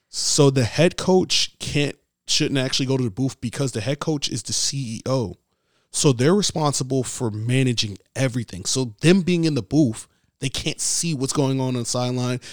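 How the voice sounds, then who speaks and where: Speaking at a moderate pace and a medium pitch, a man talks with a New York accent. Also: ordinary pitch variation, dry, close sound with no echo, very clean recording, silent background. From New York City, the Bronx. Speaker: PE teacher and football coach. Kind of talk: casual interview.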